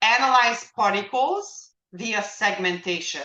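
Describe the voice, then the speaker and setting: A woman talks with lively intonation. There is audible echo in the room. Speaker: lecturer teaching image analysis. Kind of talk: lecture. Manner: halting, many fillers.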